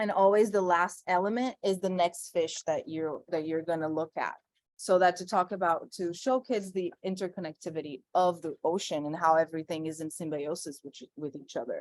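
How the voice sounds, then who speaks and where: Moderate pace, ordinary pitch variation, and a Brazilian Portuguese accent. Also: woman, fairly low pitch for a woman. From Brazil, Sao Paulo. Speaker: environmental artist. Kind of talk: conversation.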